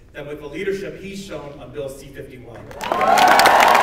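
Loud background noise and audible room echo fill the recording. The speaker is a man. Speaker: member of parliament. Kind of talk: rally speech. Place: hall. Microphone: camera far.

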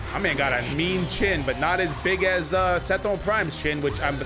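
Clear music plays in the background. A man speaks at a moderate pace. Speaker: reaction video host. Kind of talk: casual reaction commentary. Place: home room. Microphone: studio mic.

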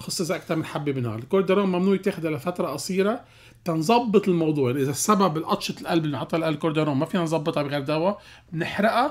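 Animated in tone, a man with a high pitch speaks at a very fast pace with ordinary pitch variation against a quiet background. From Lebanon. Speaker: cardiologist; guest. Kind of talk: radio health call-in show. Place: studio. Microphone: studio mic.

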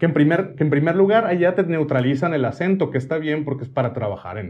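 The voice is somewhat breathy and moves at a very fast pace with lively intonation. The background is quiet. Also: man, fairly high pitch for a man. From Hermosillo, Sonora, Mexico; Sonora, Mexico. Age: 40s. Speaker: singer and social media creator; social media creator. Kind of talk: casual interview chat. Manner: brusque, forceful delivery often taken as angry. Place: home room.

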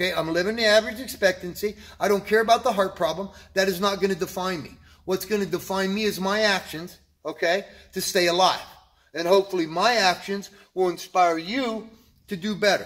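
Over a quiet background, a man talks at a fairly quick pace with high pitch. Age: 60s. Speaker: vlogger sharing health and fitness motivation. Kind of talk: motivational monologue. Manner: animated. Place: gym. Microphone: phone near.

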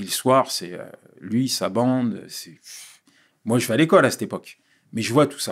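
Over a quiet background, a man speaks at a moderate pace with long, frequent pauses and ordinary pitch variation. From Paris suburbs (La Courneuve, Vitry), Ivorian father; Paris. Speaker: pastor and speaker; podcast guest. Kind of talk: interview, life story testimony. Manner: halting, repeats words. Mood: reflective, telling life story. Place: studio. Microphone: studio mic.

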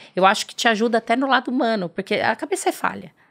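Over a quiet background, a woman talks at a very fast pace. Her pitch is fairly high and her intonation lively. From Brazil, interior of Paraná. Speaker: dentist and aesthetics entrepreneur; podcast guest. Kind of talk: interview. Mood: friendly, smiling. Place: studio. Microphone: studio mic.

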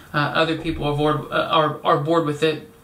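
A man talks at a high pitch. There is audible room echo. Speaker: video creator. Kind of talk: casual vlog chat. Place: home room. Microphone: camera far.

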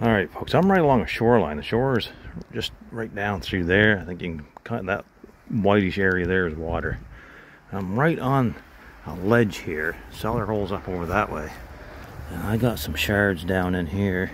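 Heard over light background noise in a dry sound with no echo, a man uses a normal speaking voice at a moderate pace with ordinary pitch variation. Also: fairly low pitch for a man. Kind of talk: casual vlog commentary. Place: forest. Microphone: phone near.

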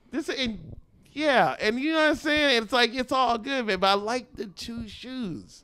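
A man speaks in a raised, projected voice at a fairly slow pace. His tone is animated, bright and sharp, with ordinary pitch variation. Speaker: comedian; podcast guest comedian. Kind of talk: casual chat. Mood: joking, playful. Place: home room. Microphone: handheld.

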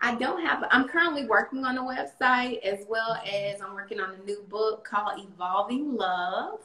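Her fairly high voice has lively intonation and big swings in loudness at a moderate pace. The woman barely pauses, and audible room echo surrounds her. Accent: North Carolina. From US South. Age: 30s. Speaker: domestic abuse survivor and poet; interview guest, poet. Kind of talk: interview. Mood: earnest, reflective, encouraging. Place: home room. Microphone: video call.

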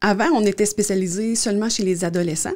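A woman speaks at a fairly quick pace with a slightly mellow tone. Her intonation is fairly even.

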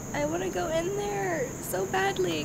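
A woman's voice against loud background noise. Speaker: vlogger. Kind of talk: casual vlog chat. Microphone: phone near.

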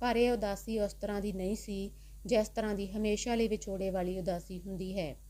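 A woman speaks at a medium pitch in a dark, mellow tone with monotone, flat intonation. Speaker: audiobook narrator. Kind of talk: scripted story narration, bedtime storytelling.

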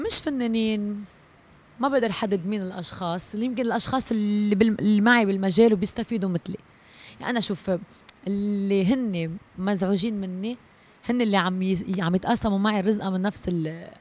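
At a moderate pace, a woman talks in a dry recording with no echo. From Lebanon. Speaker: singer; interviewee. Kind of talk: interview. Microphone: handheld.

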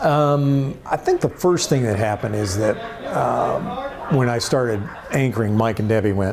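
With an American accent, a man speaks at a moderate pace with ordinary pitch variation and very even loudness over noticeable background noise. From Indiana, USA. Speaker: former TV sports anchor and radio character actor. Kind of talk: interview answer. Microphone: lapel.

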